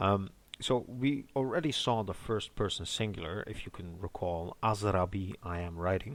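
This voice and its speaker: A man with a normal speaking voice talks at a moderate pace, his pitch fairly low with ordinary variation. The recording is very clean, with a silent background. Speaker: language teacher. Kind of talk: language lesson, teaching. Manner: explanatory, tutorial.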